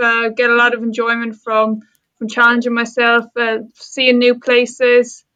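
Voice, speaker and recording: The tone is bright and sharp. Delivery is flat and monotone at a fairly slow pace. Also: woman. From Ireland, Waterford (south coast). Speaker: sport psychology lecturer. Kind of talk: podcast interview. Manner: hesitant, many fillers.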